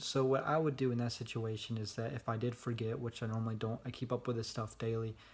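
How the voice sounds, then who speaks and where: Somewhat breathy, fairly quick speech with fairly even intonation. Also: man. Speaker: vlogger. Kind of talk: casual vlog monologue. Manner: monotone.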